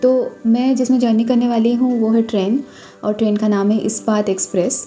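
Faint music plays in the background. A woman speaks with fairly even intonation. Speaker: travel vlogger. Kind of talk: casual vlog chat. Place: home room. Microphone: phone near.

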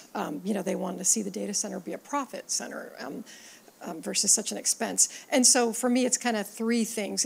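A woman with a normal speaking voice and a fairly high pitch speaks at a moderate pace. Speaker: tech industry analyst. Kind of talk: panel discussion. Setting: conference stage with audience. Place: hall. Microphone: handheld.

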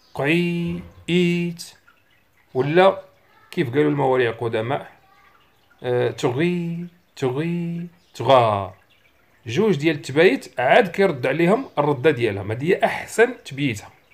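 A man with a Moroccan accent speaks at a very slow pace with long, frequent pauses. His pitch is fairly high and his intonation lively. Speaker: bird-song teacher. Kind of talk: tutorial.

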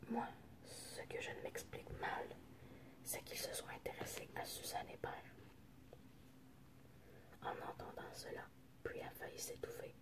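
Someone whispers very slowly, pausing often and at length. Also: woman. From French Canadian. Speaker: ASMR creator. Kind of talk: ASMR book reading. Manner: whispered. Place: home room. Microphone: phone near.

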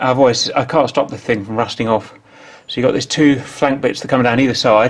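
A man's voice comes through with light background noise behind it. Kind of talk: casual workshop commentary. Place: garage. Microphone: phone near.

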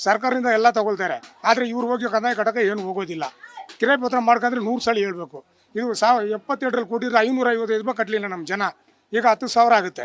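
A man speaks with high pitch and ordinary pitch variation. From Bengaluru, Karnataka. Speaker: local resident. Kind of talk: street interview.

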